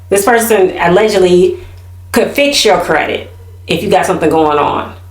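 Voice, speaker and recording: There is noticeable background noise and audible room echo. A woman speaks in an animated tone at a very even loudness. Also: medium pitch for a woman, ordinary pitch variation, moderate pace. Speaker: YouTube commentary host. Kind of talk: casual chat.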